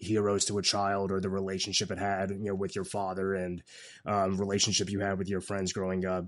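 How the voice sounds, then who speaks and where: A man speaks at a fairly quick pace with a fairly low pitch, in an ordinary speaking voice. The background is quiet. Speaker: podcast host. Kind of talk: interview questions.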